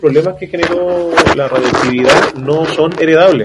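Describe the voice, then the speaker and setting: Fairly slow speech with a Chilean accent and ordinary pitch variation over noticeable background noise. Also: man. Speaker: podcast co-host. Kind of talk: casual chat.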